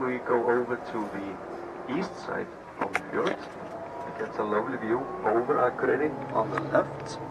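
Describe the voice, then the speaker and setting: A man talks with ordinary pitch variation. Loud background noise sits behind him. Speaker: tour guide. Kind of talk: tour commentary. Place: bus. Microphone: pa.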